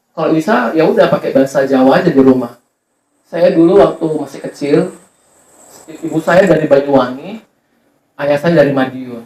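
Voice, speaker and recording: Speaking fairly quickly, the man's voice sits at a fairly high pitch. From Medan, North Sumatra, Indonesia. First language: Javanese (speaking Indonesian). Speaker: university lecturer. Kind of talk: community workshop talk. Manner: conversational with repetitions.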